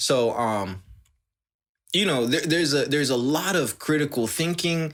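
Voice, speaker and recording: On a very clean recording with a silent background, a man with a normal speaking voice talks at a moderate pace and a fairly high pitch, with lively intonation and very even loudness. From United States. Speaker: podcast co-host. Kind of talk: casual chat.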